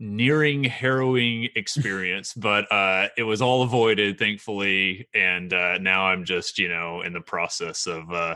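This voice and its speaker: A man with an American accent and a bright, sharp tone speaks at a fairly slow pace with a fairly low pitch, ordinary pitch variation and hardly any pauses. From Oklahoma (Meeker, small town). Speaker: graduate student in tree-ring and fire ecology. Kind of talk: casual podcast interview. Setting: recording from home.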